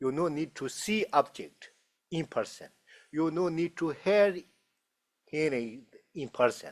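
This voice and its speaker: Speaking with a Tibetan accent, a man uses a fairly high pitch with ordinary pitch variation and long, frequent pauses, in a dry, close sound with no echo. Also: fairly slow pace. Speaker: Buddhist teacher. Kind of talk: dharma talk Q&A. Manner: halting.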